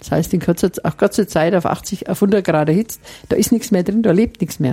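A woman speaks at a fairly quick pace in a fairly low pitch, her dark, mellow tone somewhat breathy, with ordinary pitch variation. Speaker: nun and master brewer. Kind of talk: interview.

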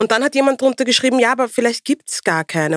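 In a dry, close sound with no echo, a woman talks at a very fast pace. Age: 40s. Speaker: podcast co-host. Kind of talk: casual chat.

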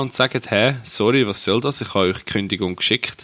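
A man speaks in a fairly low pitch with a bright, sharp tone. His pace is moderate. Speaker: podcast co-host. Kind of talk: casual chat.

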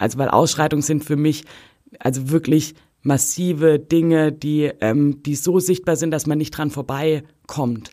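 Speaking fairly slowly, a woman with a very deep, low pitch and a dark, mellow tone keeps her intonation fairly even. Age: 30s. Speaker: social scientist and football fan activist. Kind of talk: interview. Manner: hesitant, many filler sounds.

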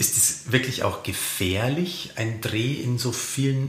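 A man talks at a very slow pace while audible room echo and noticeable background noise surround him. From Lower Bavaria (Simbach am Inn). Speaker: podcast host, culture editor. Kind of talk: interview.

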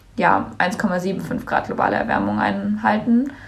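A woman speaks at a medium pitch with vocal fry, and the room echo is audible. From Germany, Cologne. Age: young. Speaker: climate activist, student. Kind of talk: interview.

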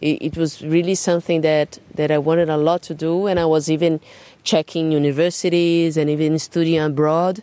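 In a Portuguese accent, a woman with a very deep, low pitch and a dark, mellow tone talks at a fairly quick pace with monotone, flat intonation. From Brazil, São Paulo. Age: 30s. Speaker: jazz drummer and singer. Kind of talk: interview. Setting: garden at home. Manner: halting, repeats words.

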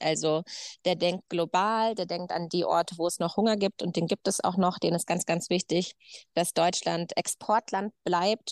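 Her fairly low pitch, fairly even intonation and fairly slow pace mark an unremarkable speaking voice from this woman. The sound is dry and close with no echo, over a quiet background. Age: 30s. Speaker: farmer. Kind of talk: casual chat.

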